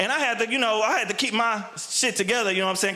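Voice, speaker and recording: Over noticeable background noise and audible room echo, a man talks very fast in a raised, projected voice with an animated tone and ordinary pitch variation. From Texas. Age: 30s. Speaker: stand-up comedian. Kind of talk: stand-up. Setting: stage with audience. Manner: loud.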